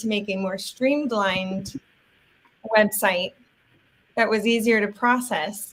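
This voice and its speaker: A woman speaks at a moderate pace in a fairly high pitch. Her pitch varies an ordinary amount. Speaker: actor and live stream host. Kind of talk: casual live stream chat. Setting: live video stream. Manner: loud. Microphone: Yeti microphone, new to her.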